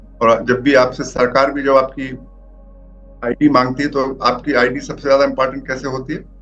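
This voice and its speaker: Music plays in the background as a man speaks at a moderate pace. His pitch is medium, and his intonation is fairly even. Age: 60s. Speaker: spiritual teacher. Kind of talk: online talk on spirituality. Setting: online session with shared screen.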